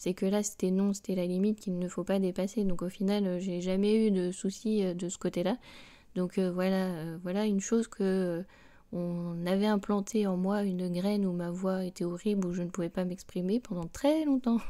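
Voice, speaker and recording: A woman speaks at a moderate pace in a dark, mellow tone and a medium pitch. Her intonation stays fairly even on a very clean recording with a silent background. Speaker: reiki teacher and podcaster, former primary school teacher. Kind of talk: spiritual podcast talk. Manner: hesitant, many fillers.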